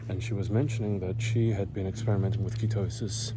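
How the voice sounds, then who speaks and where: Whispering at a fairly quick pace, a man is heard with audible room echo. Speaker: vlogger. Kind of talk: casual vlog monologue. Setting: outdoors, walking uphill in neighborhood.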